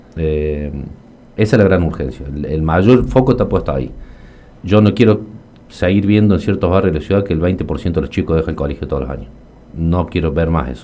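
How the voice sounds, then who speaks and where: Speaking at a fairly quick pace, a man with a very deep, low pitch leaves long, frequent pauses. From Argentina, Río Cuarto (Córdoba). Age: 40s. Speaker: accountant and local politician. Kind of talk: radio interview. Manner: hesitant, frequent fillers and repetitions.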